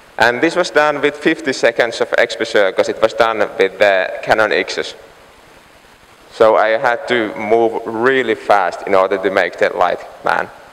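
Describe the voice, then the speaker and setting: The man talks at a fairly slow pace. Noticeable background noise runs behind him. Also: very even loudness. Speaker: light painting artist. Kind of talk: conference talk. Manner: halting, many fillers.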